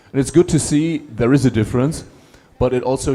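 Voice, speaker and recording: A man is speaking. Music plays in the background. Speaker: ambassador giving public lecture. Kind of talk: Q&A answer at public lecture.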